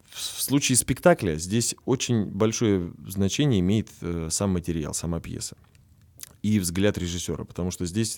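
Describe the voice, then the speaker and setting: The speaker uses lively intonation. The recording is very clean, with a silent background. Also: man. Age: 20s. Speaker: stage actor and composer. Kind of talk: casual interview.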